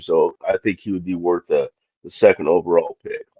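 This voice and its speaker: This is a man's voice. He talks at a moderate pace. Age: 60s. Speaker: podcast panelist. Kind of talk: casual chat. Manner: halting, many fillers.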